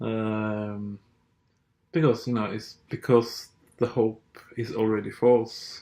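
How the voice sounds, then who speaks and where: A man with a Norwegian accent speaks very slowly in a dark, mellow, medium-pitched voice with flat, monotone intonation. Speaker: political commentator. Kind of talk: monologue rant. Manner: hesitant, many fillers.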